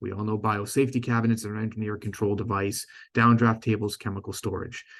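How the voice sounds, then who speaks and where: With a Boston accent, a man talks in a fairly low pitch and a flat monotone against a quiet background. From Boston, US. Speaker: company sales director presenting. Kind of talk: conference presentation. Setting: stage with audience. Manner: stumbles and self-corrects often.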